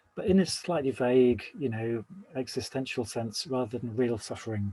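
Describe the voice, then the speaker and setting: A man with a medium pitch and a dark, mellow tone sounds somewhat breathy at a moderate pace, in a dry, close recording with no echo. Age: 60s. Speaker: Buddhist teacher giving a talk. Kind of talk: dharma talk.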